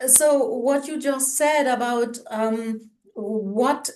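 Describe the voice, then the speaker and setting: Speaking very slowly, a woman with a German accent uses a high pitch and ordinary pitch variation. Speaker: co-host of culture talk show. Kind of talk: casual conversation.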